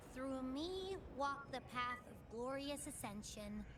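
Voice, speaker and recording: A female-sounding, put-on character voice speaks high and fairly slowly. Background noise is clearly heard. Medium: game stream. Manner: bubbly, casual.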